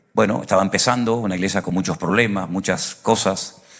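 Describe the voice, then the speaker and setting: A man with an ordinary speaking voice, fairly low in pitch, with ordinary pitch variation and a fairly quick pace. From Venezuela. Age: 60s. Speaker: pastor. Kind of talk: sermon.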